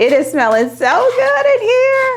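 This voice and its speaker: With a slight Southern US accent, a woman speaks in a relaxed tone at a fairly slow pace. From US South, Alabama. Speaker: lifestyle vlogger. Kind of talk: casual vlog, baking tutorial. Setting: home kitchen. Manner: chatty, relaxed.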